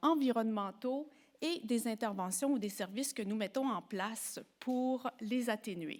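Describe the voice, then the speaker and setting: On a very clean recording with a silent background, a woman in a Quebec accent speaks very slowly at a fairly high pitch with ordinary pitch variation. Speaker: professor and psychologist. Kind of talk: lecture. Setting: symposium before an audience.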